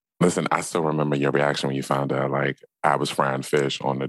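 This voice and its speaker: A man speaks at a fairly quick pace in a very deep, low voice with vocal fry. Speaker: guest with plant business. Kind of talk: casual chat.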